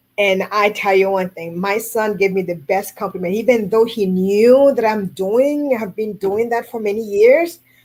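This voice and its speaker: A woman with a Haitian accent speaks at a moderate pace. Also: medium pitch for a woman, ordinary pitch variation, hardly any pauses. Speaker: food carving artist. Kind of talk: radio interview.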